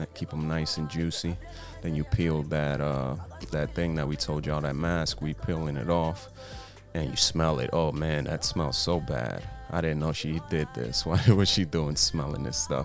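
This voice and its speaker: Music plays behind a man with a very deep, low voice and ordinary pitch variation. His tone is playful and his pace moderate. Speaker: boyfriend doing comedic voiceover. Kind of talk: comedic voiceover narration of makeup video. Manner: playful, joking.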